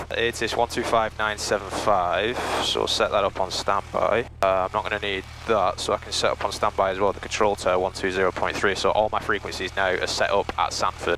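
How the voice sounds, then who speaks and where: A man speaks fairly quickly, the sound dry with no echo, as noticeable background noise carries on. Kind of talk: casual commentary. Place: plane. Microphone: headset.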